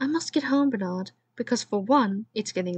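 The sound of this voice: Lively intonation marks this unforced reading voice, heard against a quiet background.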